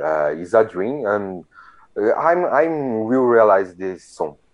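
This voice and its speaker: Speaking with a Brazilian accent, a man uses very wide pitch swings around a medium pitch at a fairly slow pace. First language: Portuguese. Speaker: hockey fan community organizer. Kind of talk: interview. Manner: halting.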